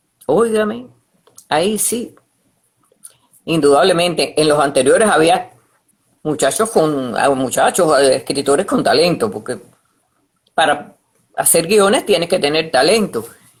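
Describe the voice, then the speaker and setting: A woman speaks at a fairly slow pace and a fairly low pitch, with long, frequent pauses. Her intonation is lively. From Cuba. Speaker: radio announcer. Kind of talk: interview answer.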